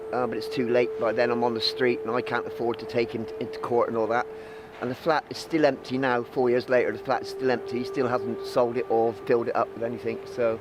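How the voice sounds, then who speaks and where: A man speaks at a fairly quick pace, and noticeable background noise can be heard. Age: 60s. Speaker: homeless person. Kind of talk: interview testimony.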